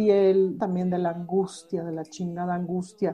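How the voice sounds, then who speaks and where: With a dark, mellow tone, a woman speaks at a moderate pace and medium pitch. Her intonation is monotone and flat. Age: 40s. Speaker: cabaret performer. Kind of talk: casual interview chat.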